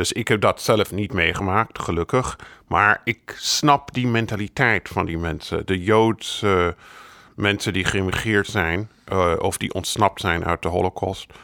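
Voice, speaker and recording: A man with an English accent speaks at a fairly slow pace, his fairly low voice bright and sharp in tone. The recording is very clean and silent in the background, dry and close with no echo. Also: ordinary pitch variation. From United States. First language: English (speaking Dutch). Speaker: biographer. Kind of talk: interview.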